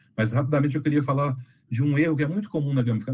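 A man talks very fast in a fairly high pitch, his tone dark and mellow and somewhat breathy. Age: 40s. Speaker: game designer. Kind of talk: casual chat.

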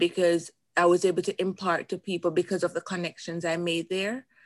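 Speaking at a moderate pace, a woman with a Jamaican accent keeps a monotone, flat intonation at a fairly low pitch. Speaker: motivational speaker and coach. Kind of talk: interview.

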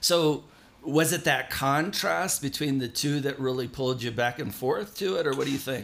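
A man with an American accent and an unremarkable speaking voice talks at a moderate pace, his fairly high pitch carried by lively intonation. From Southern California. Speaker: podcast host. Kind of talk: scripted narration; casual interview.

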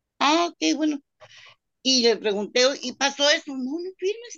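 Dry and close with no echo, a woman's high-pitched voice has a bright, sharp tone and very wide pitch swings. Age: 50s. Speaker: restaurant worker seeking legal advice. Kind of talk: consultation call. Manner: halting.

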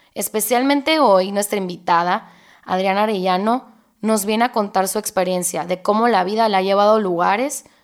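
In a very clean recording with a silent background, a woman at medium pitch talks at a moderate pace with ordinary pitch variation, a plain, everyday voice. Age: 20s. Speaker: podcast host. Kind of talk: scripted intro; casual interview.

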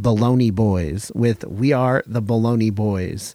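An American man at a medium pitch, very slow, with ordinary pitch variation, dry close sound with no echo, and a very clean recording over a silent background. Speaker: hardcore podcast and radio host. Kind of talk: radio DJ patter between tracks, casual independent hardcore show. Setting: studio.

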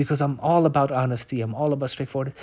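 The man's voice sits at a medium pitch and comes across somewhat breathy. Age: 30s. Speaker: solo podcaster. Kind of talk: personal diary-style monologue. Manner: unscripted, hesitant with fillers; occasionally slurring words.

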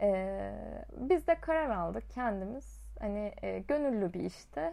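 A woman at a very slow pace on a very clean recording with a silent background. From Çukurova, southern Turkey. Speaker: podcast host and teacher. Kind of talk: casual monologue. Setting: at home.

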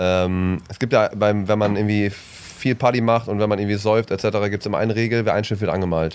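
Barely pausing, a man speaks in a fairly low pitch with monotone, flat intonation. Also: fairly quick pace. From East Westphalia, Bielefeld. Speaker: comedian, podcast co-host. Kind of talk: casual chat.

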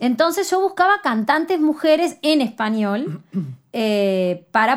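In a Uruguayan accent, a woman speaks with very wide pitch swings. The recording is very clean, with a silent background. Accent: Uruguayan Rioplatense Spanish. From Uruguay, city of Canelones. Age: 30s. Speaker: singer and artist. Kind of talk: interview conversation. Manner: halting, many fillers.

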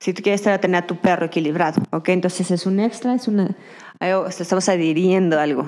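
This woman has a normal speaking voice. Her pitch sits at a medium level. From Mexico, Durango. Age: 30s. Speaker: dog trainer and behaviorist. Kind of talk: interview.

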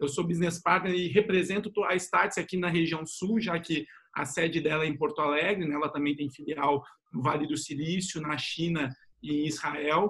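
Moderately paced, this man's high-pitched voice keeps fairly even intonation. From São Paulo state, Brazil. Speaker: retail executive and startup mentor. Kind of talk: online panel discussion.

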